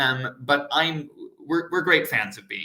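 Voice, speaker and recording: This man has a bright, sharp tone. He speaks with an American accent. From United States. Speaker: PhD student. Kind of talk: live online Q&A. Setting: live stream panel. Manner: hesitant, many fillers.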